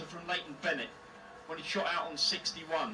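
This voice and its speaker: A man's voice comes through with faint music behind it. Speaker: darts TV commentator. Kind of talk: commentary.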